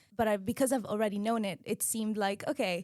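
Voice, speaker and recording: In an Arabic accent, a woman talks at a fairly quick pace with a fairly high pitch and some vocal fry. The recording is very clean, with a silent background. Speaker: medical student. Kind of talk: podcast conversation.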